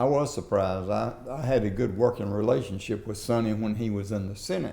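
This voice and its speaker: A man with a Southern US accent, fairly low pitch, ordinary pitch variation, a dark, mellow tone and a fairly quick pace, plus audible room echo. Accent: Southern US (Georgia). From US South, southwest Georgia. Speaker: former state legislator and business leader. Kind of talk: oral history interview. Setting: in-person interview.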